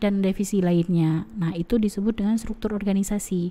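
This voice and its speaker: A woman's dark, mellow tone at medium pitch, with ordinary pitch variation. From Aceh, Indonesia. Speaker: university lecturer. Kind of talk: lecture. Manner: hesitant with fillers.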